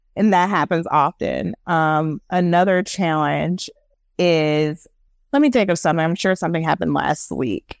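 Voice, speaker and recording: Recorded very cleanly against a silent background, with a dry, close sound and no echo, a woman with an unremarkable speaking voice talks at a moderate pace in a fairly low pitch. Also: ordinary pitch variation. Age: 30s. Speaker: UX/UI designer, former life coach. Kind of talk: casual interview.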